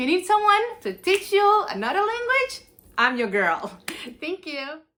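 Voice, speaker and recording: Over noticeable background noise, a woman speaks at a moderate pace in a raised, projected voice with very wide pitch swings. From Cape Verde. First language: Cape Verdean Creole. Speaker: university student. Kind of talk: talent show presentation.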